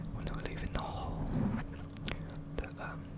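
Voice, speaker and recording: Someone whispers over noticeable background noise. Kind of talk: ASMR story time. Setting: studio, close microphone. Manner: close-up, soft-spoken, casual, friendly.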